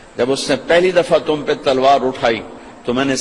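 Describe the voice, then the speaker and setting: There is noticeable background noise as a man speaks. His fairly high pitch shows ordinary variation. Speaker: Islamic preacher. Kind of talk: Islamic sermon, emotional lecture. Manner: emotional, passionate, dramatic storytelling.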